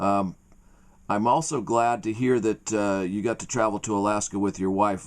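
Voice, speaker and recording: A man speaks in an unremarkable speaking voice at a fairly low pitch. His intonation is fairly even and his pace moderate. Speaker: interviewer. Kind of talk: interview question.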